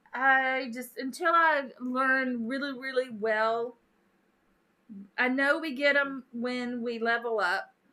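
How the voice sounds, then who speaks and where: A woman uses a raised, projected voice with a bright, sharp tone and high pitch. She talks at a very slow pace. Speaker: gaming streamer. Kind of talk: live stream casual chat. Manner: animated.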